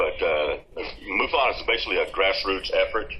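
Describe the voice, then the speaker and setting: A man with an American accent delivers his words at a moderate pace. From Texas. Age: 60s. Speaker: UFO field investigator. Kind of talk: interview. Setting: video call. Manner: halting, many fillers.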